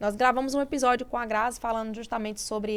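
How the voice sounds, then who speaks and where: In a very clean recording with a silent background, a woman talks at a fairly quick pace. She has an unremarkable speaking voice, fairly high in pitch, with fairly even intonation. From Brazilian Northeast, interior of Sergipe. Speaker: podcast host. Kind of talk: interview.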